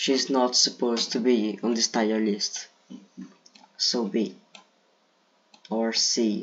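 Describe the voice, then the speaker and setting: A man speaks at a very slow pace with long, frequent pauses. His medium-pitched voice keeps a monotone, flat intonation. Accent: Brazilian. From Brazil. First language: Portuguese. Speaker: gaming video creator. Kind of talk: casual commentary. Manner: halting.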